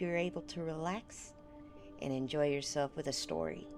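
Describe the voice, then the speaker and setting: Over music in the background, a woman with a very deep, low pitch speaks at a moderate pace in fairly even intonation. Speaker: vtuber. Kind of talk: casual talk to stream chat.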